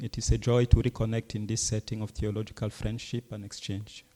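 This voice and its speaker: With a non-native accent, a man speaks at a moderate pace in a medium pitch, his tone dark and mellow and his intonation fairly even, on a very clean recording with a silent background. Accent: foreign accent kept, non-native English. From Cameroon. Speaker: Jesuit priest and professor. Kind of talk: lecture. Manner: formal.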